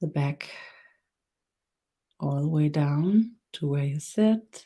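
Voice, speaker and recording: A woman with a Danish accent speaks very slowly in a very deep, low voice with lively intonation. Her tone is dark, mellow and somewhat breathy. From Denmark. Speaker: spiritual teacher. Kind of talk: guided meditation; webinar talk. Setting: live stream webinar. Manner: halting.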